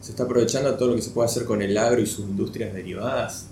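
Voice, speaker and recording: A man speaks with audible room echo. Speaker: podcast host. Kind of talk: interview.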